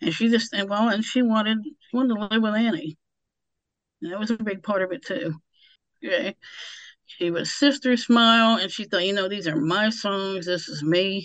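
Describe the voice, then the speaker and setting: Against a quiet background, a woman with an unremarkable speaking voice talks at a moderate pace with a fairly high pitch and ordinary pitch variation. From US, army family, several states. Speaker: author and translator. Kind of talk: radio interview.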